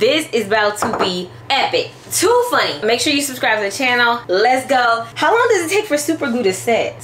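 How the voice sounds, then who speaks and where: Speaking at a fairly quick pace, a woman swings her pitch very widely over light background noise. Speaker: vlogger. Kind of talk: casual vlog chat. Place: kitchen. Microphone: phone near.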